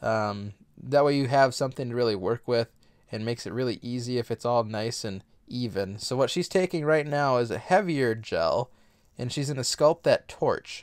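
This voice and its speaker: Using an unremarkable speaking voice, a man talks at medium pitch and a moderate pace, his pitch variation ordinary. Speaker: husband doing voiceover. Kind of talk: casual voiceover commentary on nail art tutorial.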